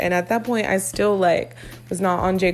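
Noticeable background noise runs under a woman talking at a fairly quick pace. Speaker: music podcast host. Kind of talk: casual album review monologue.

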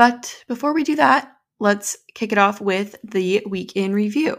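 Putting on a raspy character voice, a woman at medium pitch speaks at a fairly slow pace with lively intonation. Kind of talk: casual podcast.

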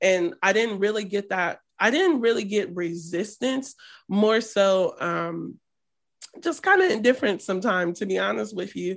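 A woman with an American accent, medium pitch and ordinary pitch variation, at a moderate pace against a quiet background, in an ordinary speaking voice. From US Midwest, Columbus, Ohio. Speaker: storyteller and filmmaker. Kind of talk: casual interview.

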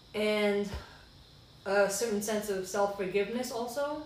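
A woman with a fairly high voice speaks at a moderate pace and with fairly even intonation, with noticeable background noise and audible room echo. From Sierra Leone, raised internationally. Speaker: podcast guest sharing faith journey. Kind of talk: testimony.

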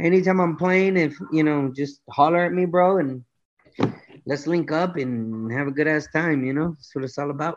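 A man with an American accent at a moderate pace. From Los Angeles, California, and Michoacan, Mexico. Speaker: musician, cumbia singer. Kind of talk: casual interview chat. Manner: animated, repetitive filler speech.

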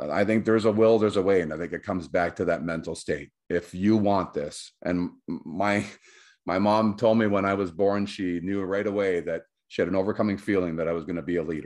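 At a fairly quick pace, an unremarkable speaking voice talks over a quiet background. The intonation is fairly even. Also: man, fairly low pitch for a man. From Canada (Cornwall, Ontario, near Quebec border). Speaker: weight loss success story guest. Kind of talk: casual interview.

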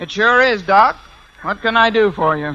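A man does a put-on character voice, gruff and high-pitched. He moves at a moderate pace with lively intonation.

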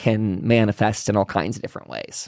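A man speaks in an ordinary speaking voice with an American accent and a fairly low pitch. His pace is moderate, in a very clean recording with a silent background. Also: dry, close sound with no echo. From Pennsylvania. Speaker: paranormal podcast host. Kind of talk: casual chat; sales pitch.

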